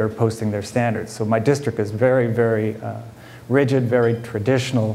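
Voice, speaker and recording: A man with an American accent and medium pitch uses a normal speaking voice at a moderate pace, with fairly even intonation and light background noise. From California foothills. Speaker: school principal; school principal on panel. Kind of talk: panel talk. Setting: conference panel with audience. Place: hall. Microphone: lapel.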